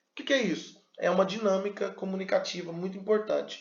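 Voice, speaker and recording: This man's voice sits high in pitch. His tone is animated. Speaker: pastor and communication teacher. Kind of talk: lecture. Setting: video recorded to camera. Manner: animated, varied pace and pitch.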